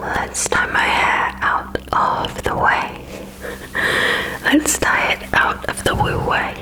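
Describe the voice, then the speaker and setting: A whisper moves along very slowly while noticeable background noise continues. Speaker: ASMR creator. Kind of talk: ASMR makeup tutorial. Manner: whispered; soothing, calm.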